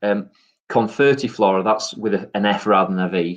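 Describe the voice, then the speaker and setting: With a Yorkshire accent, a man talks at a moderate pace. His pitch sits fairly low. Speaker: gardening guest. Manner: hesitant, many ums.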